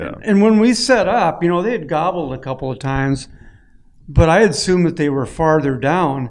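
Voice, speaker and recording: A man's fairly high, lively voice at a moderate pace, with an Upper Midwest accent. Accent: Upper Midwest American. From northern Minnesota. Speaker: outdoor magazine editor. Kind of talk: roundtable chat. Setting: hunting camp.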